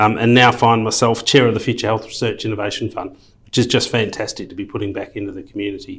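A man speaks with an Australian accent at a medium pitch. His intonation stays flat and monotone. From Perth, Western Australia. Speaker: health fund council chair, business executive. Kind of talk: interview.

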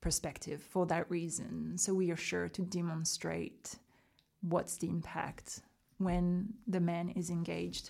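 At a fairly slow pace, a woman speaks with a French accent in a very clean recording with a silent background. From rural south of France. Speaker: documentary maker. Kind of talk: interview.

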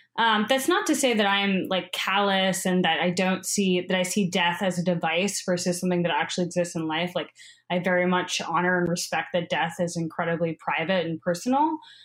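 A woman's unremarkable speaking voice, medium in pitch, with ordinary pitch variation and a fairly quick pace. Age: 30s. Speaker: documentary filmmaker. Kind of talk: interview.

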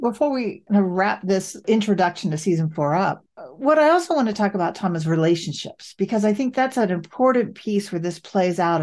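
At medium pitch, a woman swings very widely up and down while keeping a moderate pace. The background is quiet. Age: 60s. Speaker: podcast host, affordable housing work. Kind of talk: casual chat.

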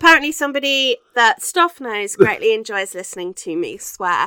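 Bright and sharp yet clear and smooth, a woman's fairly high voice takes big pitch swings. She keeps a moderate pace in a dry, close sound with no echo.

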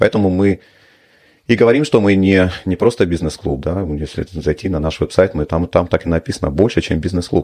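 A man talks at a moderate pace in a very deep, low voice with a dark, mellow tone. His pitch varies in an ordinary way, and the background is quiet. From Russia. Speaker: business club founder and publisher. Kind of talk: interview.

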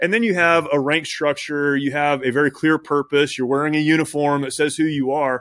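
In a very clean recording with a silent background, a man with an American accent uses a normal speaking voice at a fairly high pitch, talking at a fairly quick pace with hardly any pauses and fairly even intonation, the sound dry and close with no echo. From Southern California. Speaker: military veteran and nonprofit CEO. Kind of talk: interview.

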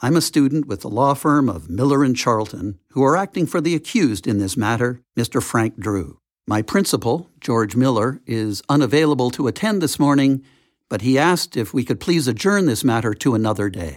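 An unremarkable speaking voice at a moderate pace, lively in intonation, on a very clean recording with a silent background. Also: man, medium pitch for a man. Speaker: lawyer and TV producer, memoir author. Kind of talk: audiobook reading.

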